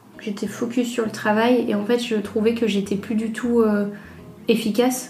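Room echo surrounds a woman with a fairly high voice speaking at a moderate pace in a monotone, flat intonation. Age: 30s. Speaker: entrepreneur, former food industry marketer. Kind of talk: testimony. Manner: halting.

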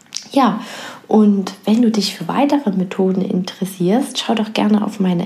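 A woman with a medium-pitched voice and ordinary pitch variation speaks at a fairly slow pace in a soothing, calm tone over noticeable background noise. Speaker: podcast host and coach. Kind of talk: guided meditation. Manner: slow, soothing, calm, soft-spoken; gentle, pausing, hushed.

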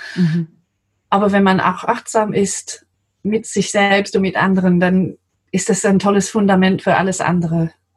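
A woman speaks at a moderate pace in a medium-pitched, somewhat breathy voice. Her intonation is monotone and flat. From England, London. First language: English (speaking German). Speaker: translator. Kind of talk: interview.

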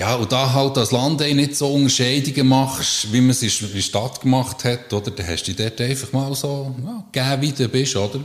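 A man at medium pitch, speaking at a moderate pace with hardly any pauses, ordinary pitch variation, and an unremarkable speaking voice. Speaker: psychological counsellor. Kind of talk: casual interview. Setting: counselling practice.

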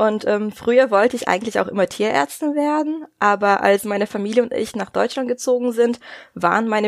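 With lively intonation, a woman speaks at a fairly high pitch in a plain, everyday voice, recorded very cleanly against a silent background. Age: 20s. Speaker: dog nutrition consultant and veterinary assistant. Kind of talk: interview.

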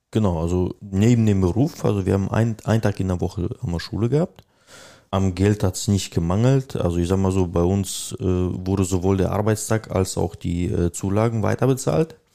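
In a very clean recording with a silent background, a man speaks at a moderate pace with a dark, mellow tone. His pitch is fairly low with ordinary variation, and his loudness is very even. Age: 30s. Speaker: machine operator retraining as technician. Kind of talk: interview. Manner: hesitant, many fillers.

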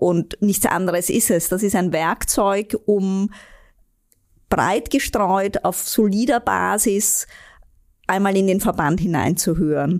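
A woman with a slight Austrian accent speaks at a very slow pace with medium pitch, ordinary pitch variation, very even loudness and long, frequent pauses. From Austria, Vienna. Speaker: vice president of a relief organisation. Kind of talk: interview.

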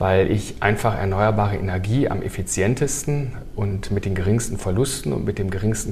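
Fairly low male voice at a moderate pace, ordinary pitch variation, audible room echo and noticeable background noise. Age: 50s. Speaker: heat pump company executive. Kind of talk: casual interview.

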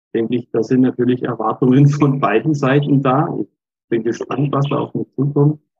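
A man's somewhat breathy, fairly high voice with a dark, mellow tone, fairly even intonation and a moderate pace. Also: dry, close sound with no echo. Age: 60s. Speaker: lay church minister. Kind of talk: interview.

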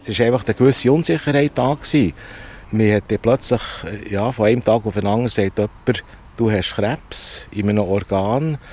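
In a normal speaking voice, a man talks at a moderate pace, his medium pitch showing ordinary variation. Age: 60s. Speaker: veterinarian, cancer patient. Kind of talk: interview testimony. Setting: outdoors at a train station bench.

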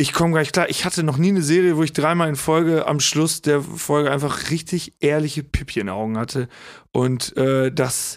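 Recorded very cleanly against a silent background, a man speaks in a normal speaking voice at a fairly quick pace. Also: fairly high pitch for a man, ordinary pitch variation. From Lower Saxony, south of Osnabrück. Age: 30s. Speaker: comedian and musician. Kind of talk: casual chat.

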